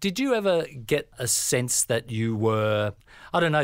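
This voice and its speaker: A man with an Australian accent speaks with ordinary pitch variation in a very clean recording with a silent background. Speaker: creative agency founder, co-interviewer. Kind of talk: podcast interview.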